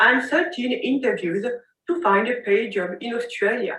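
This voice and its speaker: A woman with a non-native accent and a high pitch speaks at a moderate pace, her voice making very wide pitch swings. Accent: non-native English speaker's voice. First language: not English. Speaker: women's health capacity building officer. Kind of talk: pre-recorded personal testimony.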